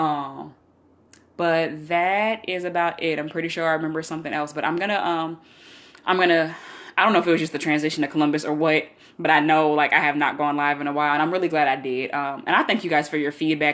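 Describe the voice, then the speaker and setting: On a very clean recording with a silent background, a woman with a very deep, low pitch talks at a very fast pace with fairly even intonation. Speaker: vlogger sharing personal life and faith updates. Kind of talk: casual livestream chat.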